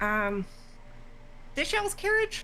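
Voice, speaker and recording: A female-sounding voice puts on a squeaky character voice over clear background noise. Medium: actual play. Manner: brash, drawling, confrontational.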